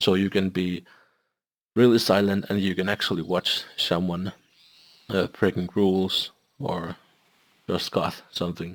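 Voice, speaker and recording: Speaking with a non-native accent in a monotone, flat intonation, the speaker leaves long, frequent pauses in a very clean recording with a silent background. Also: man, very deep, low pitch for a man. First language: not English. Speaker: gaming video creator. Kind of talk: software tutorial review. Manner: halting.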